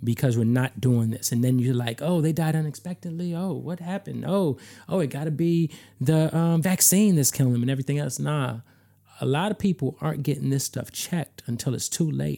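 Speaking at a fairly quick pace, a man with a fairly high pitch has a dark, mellow tone in a very clean recording with a silent background. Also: ordinary pitch variation. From Chicago. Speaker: music industry A&R. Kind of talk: casual chat. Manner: animated.

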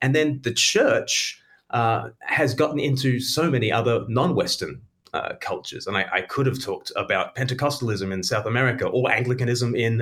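With an Australian accent, a man speaks at medium pitch. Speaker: author. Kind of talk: interview.

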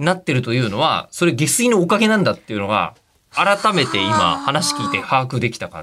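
A man's fairly high voice at a fairly quick pace, with very wide pitch swings and big swings in loudness. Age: 40s. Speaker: radio host. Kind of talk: casual chat.

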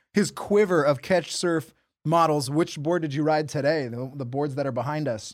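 A man with an unremarkable speaking voice and an American accent talks at a fairly quick pace, his fairly high pitch showing ordinary pitch variation, in a very clean recording with a silent background. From southern California. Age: 40s. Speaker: podcast co-host, barber. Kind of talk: casual chat; sponsor read. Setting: studio.

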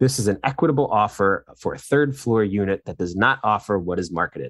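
A plain, everyday voice from a man, fairly quick in pace with lively intonation, over a quiet background. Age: 30s. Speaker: podcast producer. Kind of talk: casual chat.

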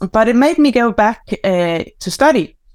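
In a very clean recording with a silent background, a woman speaks with a Danish accent. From Denmark. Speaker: mindfulness teacher and author. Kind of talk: casual interview chat.

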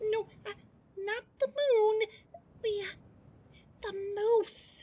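This is a put-on character voice. It is squeaky, with an extremely high pitch. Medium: audio drama. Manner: sweet, earnest.

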